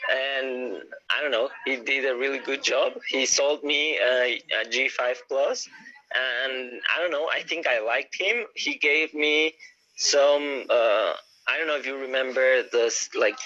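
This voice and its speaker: A man with a Spanish accent speaks with long, frequent pauses. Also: fairly slow pace. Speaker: yo-yo player. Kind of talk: live stream interview. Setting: live video call on phone.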